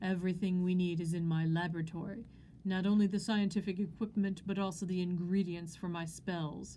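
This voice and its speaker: Using a put-on character voice, a woman speaks at a medium pitch and a fairly quick pace in a flat, monotone way, with hissing and clear background noise. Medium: read story. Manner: formal, theatrical.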